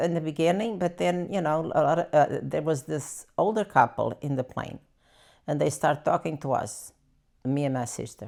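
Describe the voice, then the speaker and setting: With a Portuguese accent, a woman speaks at a moderate pace in a very deep, low pitch with vocal fry and lively intonation. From Portugal. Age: 80s+. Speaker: elderly immigrant interviewee. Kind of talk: life story interview. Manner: halting.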